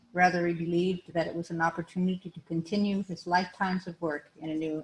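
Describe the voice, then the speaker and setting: A woman speaks softly at a fairly quick pace. Her pitch sits fairly low. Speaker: widow giving eulogy. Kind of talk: eulogy. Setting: memorial service with audience. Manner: soft-spoken; halting.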